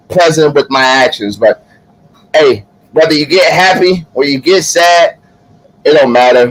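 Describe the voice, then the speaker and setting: Against noticeable background noise, a man speaks at a fairly slow pace with ordinary pitch variation, very even loudness and long, frequent pauses. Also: fairly high pitch for a man. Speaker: live show co-host. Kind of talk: casual chat.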